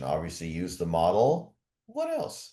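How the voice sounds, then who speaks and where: A man with a Canadian accent speaks in a dark, mellow tone. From Canada. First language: German. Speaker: podcast host. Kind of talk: interview.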